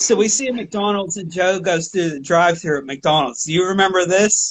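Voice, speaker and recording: A man in a Pittsburgh accent talks at a fairly quick pace with a high pitch and lively intonation. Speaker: podcast host. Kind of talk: casual chat.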